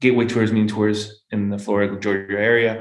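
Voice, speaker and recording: Through audible room echo, a man with a fairly low voice talks at a fairly quick pace in a monotone, flat way. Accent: Peruvian. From Peru. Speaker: golf business manager and former pro golfer. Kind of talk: podcast interview. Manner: halting, many repetitions; fast.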